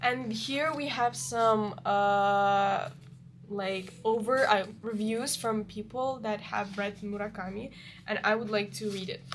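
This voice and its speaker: A woman at a very slow pace, with a strong non-native accent, a fairly high pitch and ordinary pitch variation. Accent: strong foreign accent in English. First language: not English. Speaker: book reviewer. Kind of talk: casual book review monologue. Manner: halting, with many fillers.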